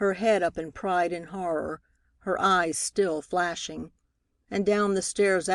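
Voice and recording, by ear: Against a quiet background comes reading aloud in a natural voice.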